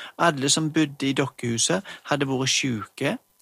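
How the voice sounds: The delivery is a natural reading voice. Pitch variation is ordinary.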